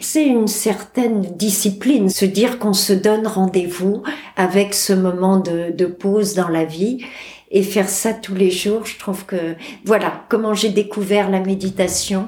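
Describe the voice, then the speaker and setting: A dark, mellow tone comes through at a fairly slow pace with fairly even intonation. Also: woman, medium pitch for a woman. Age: 60s. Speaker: cancer patient. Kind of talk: testimony.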